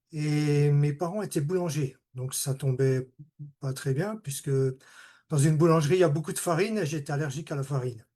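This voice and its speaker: With a quiet background behind him, a man speaks in a dark, mellow tone with ordinary pitch variation. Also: fairly high pitch for a man, moderate pace. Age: 60s. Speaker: retired automation technician giving testimony. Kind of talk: testimony. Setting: video call. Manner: halting.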